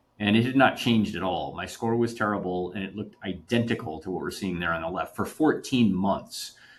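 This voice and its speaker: A man with a fairly low pitch talks at a fairly quick pace with hardly any pauses and ordinary pitch variation. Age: 50s. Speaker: scientist. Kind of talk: interview. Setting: podcast. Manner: halting.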